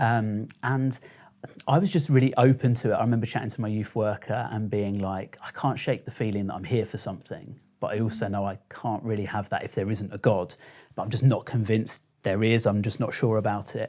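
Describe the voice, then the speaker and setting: The speaker, in a southern English accent, has a dark, mellow tone and moves at a fairly quick pace. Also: man, fairly low pitch for a man, ordinary pitch variation, very clean recording, silent background. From Kent, England. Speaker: social media storyteller. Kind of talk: interview.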